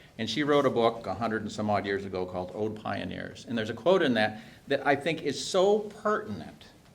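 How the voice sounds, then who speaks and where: In a normal speaking voice, a man talks at a fairly quick pace. His intonation is lively. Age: 60s. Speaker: hog farmer. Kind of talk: speech at a policy briefing.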